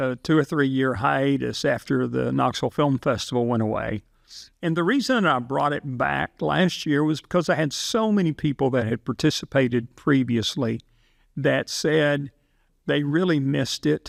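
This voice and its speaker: A man with an ordinary speaking voice, medium pitch and ordinary pitch variation, at a moderate pace and very even loudness, in a very clean recording with a silent background and a dry, close sound with no echo. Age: 60s. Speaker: film competition founder. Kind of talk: casual interview.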